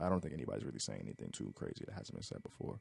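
A man with a dark, mellow tone speaks with vocal fry. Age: 20s. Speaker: music producer. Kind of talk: casual chat.

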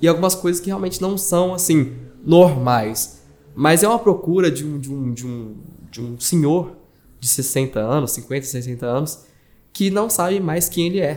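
A plain, everyday voice from a man, fairly high in pitch, fairly slow, with lively intonation. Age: 20s. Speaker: journalist and digital marketing manager. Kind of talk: casual chat.

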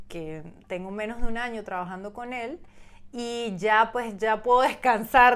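On a very clean recording with a silent background, a woman has an unremarkable speaking voice, fairly high in pitch, with ordinary pitch variation and a fairly slow pace. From Venezuela, San Cristóbal. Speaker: professional model. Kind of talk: interview. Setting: in person, Hamburg.

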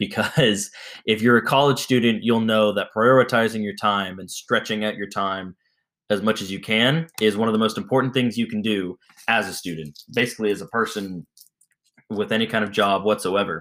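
In a very clean recording with a silent background, a man with a normal speaking voice talks at a moderate pace, his fairly low pitch held in fairly even intonation. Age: 20s. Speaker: podcast host. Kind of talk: casual chat.

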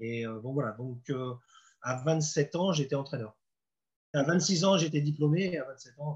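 With ordinary pitch variation, a man talks in a somewhat breathy way. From Normandy, France. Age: 50s. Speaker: football coach. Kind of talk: interview. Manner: halting.

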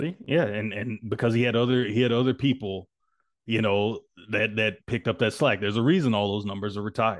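A man talks in a normal speaking voice. His pitch is medium and his pace fairly quick. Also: ordinary pitch variation. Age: 30s. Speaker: podcast co-host. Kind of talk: casual chat.

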